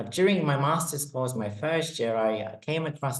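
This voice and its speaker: A man with a Polish accent uses lively intonation in a space with audible room echo. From Poland. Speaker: neuroscience lecturer. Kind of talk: webinar presentation.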